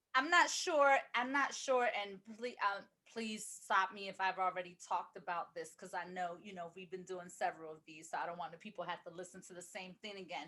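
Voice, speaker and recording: At a fairly quick pace, a woman speaks in a medium pitch with ordinary pitch variation, a bright, sharp tone and hardly any pauses. Her loudness swings widely. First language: Spanish. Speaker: podcast co-host. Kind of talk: casual chat.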